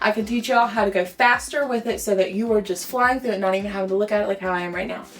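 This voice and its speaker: Speaking at a very fast pace with hardly any pauses, this woman has a medium pitch. Her intonation is fairly even. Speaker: hairstylist. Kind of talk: tutorial. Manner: casual, chatty.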